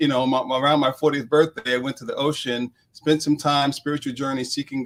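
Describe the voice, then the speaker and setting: A man speaks with an American accent in a plain, everyday voice. His pitch sits in the middle range, and his intonation stays fairly even. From New York (Queens). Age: 50s. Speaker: executive coach and author. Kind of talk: interview.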